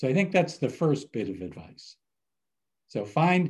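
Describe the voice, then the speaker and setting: The background stays quiet. Against it, a man talks with lively intonation. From Cleveland, Ohio, US Midwest. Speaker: business professor. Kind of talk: interview.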